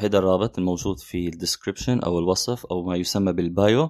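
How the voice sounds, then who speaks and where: The recording is dry and close with no echo, carrying a man's very deep, low voice with a dark, mellow tone. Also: very clean recording, silent background. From Syria. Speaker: podcaster and graphic designer. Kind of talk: solo podcast monologue.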